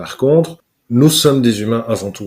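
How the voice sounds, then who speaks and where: In a very clean recording with a silent background, a man with a Belgian accent talks at a moderate pace, his medium pitch showing ordinary variation. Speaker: corporate trainer, speaker and hypnotherapist. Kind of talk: interview answer. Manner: upbeat, fun.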